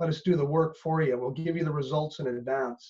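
Speaking in a Canadian accent, a man has a normal speaking voice, fairly high in pitch, with ordinary pitch variation. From Canada. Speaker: business coach. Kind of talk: casual interview chat.

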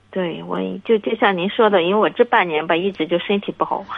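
A fairly quick pace and ordinary pitch variation, over noticeable background noise. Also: woman. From Shandong, Linyi. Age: 30s. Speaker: caller. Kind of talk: call-in advice talk.

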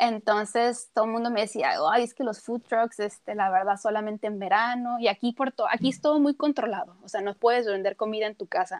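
A woman's unremarkable speaking voice, fairly high-pitched with ordinary pitch variation, at a fairly quick pace with hardly any pauses and a dry, close sound with no echo. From Tijuana, northern Mexico. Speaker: cook and nutritionist. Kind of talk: casual interview.

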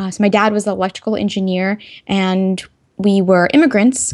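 In an American accent, a woman with a normal speaking voice and a medium pitch talks at a moderate pace with fairly even intonation on a very clean recording with a silent background. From Texas. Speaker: tech entrepreneur and engineer. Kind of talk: interview.

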